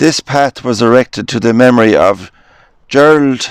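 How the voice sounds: A man speaks slowly at a medium pitch with ordinary pitch variation. His tone is clear and smooth.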